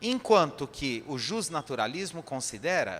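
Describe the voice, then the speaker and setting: Lively intonation marks this man's fairly high-pitched speech. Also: very clean recording, silent background. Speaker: spiritist lecturer. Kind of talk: lecture.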